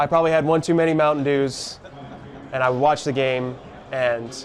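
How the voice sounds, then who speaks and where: A man's fairly even intonation and fairly quick pace come through noticeable background noise. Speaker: baseball radio broadcaster. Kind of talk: interview answer. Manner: conversational, reflective, self-deprecating.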